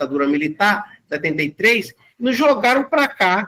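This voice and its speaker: A man's raised, projected voice sits high in pitch with a bright, sharp tone. His pitch swings very widely. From Brazil, Fortaleza (Ceará). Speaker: community bank founder, guest lecturer. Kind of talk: lecture.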